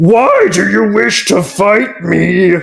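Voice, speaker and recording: A man puts on a character voice. It sits high in pitch for a man. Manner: challenging, gruff.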